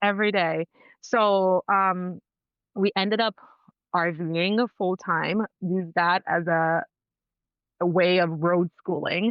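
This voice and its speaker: With a Spanish accent, the speaker goes very slowly, leaving long, frequent pauses, keeping loudness very even and intonation fairly even. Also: woman, medium pitch for a woman. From Dominican heritage. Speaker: cycle alignment mentor and nurse. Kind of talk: podcast interview.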